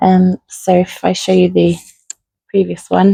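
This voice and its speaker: A woman with a British accent at a very slow pace. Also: dry, close sound with no echo. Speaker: craft channel host. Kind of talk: tutorial.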